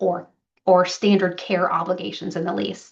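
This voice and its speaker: Speaking at a fairly slow pace with fairly even intonation, a woman has a medium pitch and an unremarkable speaking voice. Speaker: property manager presenting to landlords. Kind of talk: business presentation to clients.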